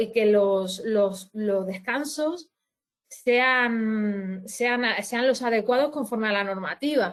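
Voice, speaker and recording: This woman's voice sits fairly high in pitch and shows ordinary pitch variation. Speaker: labour law advisor. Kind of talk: webinar presentation. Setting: online webinar. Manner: halting, many restarts.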